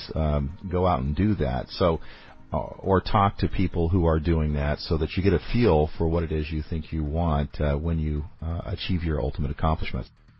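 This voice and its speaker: Very deep and low, a man's somewhat breathy voice holds fairly even intonation at a moderate pace. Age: 40s. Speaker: business podcast host and CEO. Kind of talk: podcast talk on business planning.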